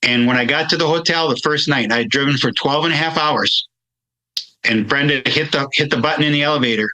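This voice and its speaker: With a bright, sharp tone, a man talks at a moderate pace, his fairly high pitch showing ordinary variation. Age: 60s. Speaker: wellness coach. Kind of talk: podcast interview. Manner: halting.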